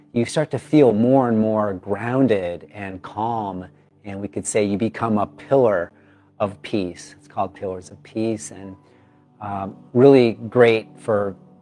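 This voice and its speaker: A man with a fairly low pitch speaks at a fairly slow pace, with big swings in loudness. Music plays in the background. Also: ordinary pitch variation. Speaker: yoga teacher. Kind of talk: casual talk to camera. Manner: upbeat, enthusiastic.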